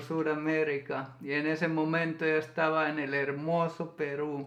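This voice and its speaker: Using a Finnish accent, a man talks at a fairly slow pace and a fairly high pitch with monotone, flat intonation. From Finland. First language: Finnish (speaking Spanish). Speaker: YouTuber, co-host of a couple's channel. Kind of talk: casual storytelling chat. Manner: halting.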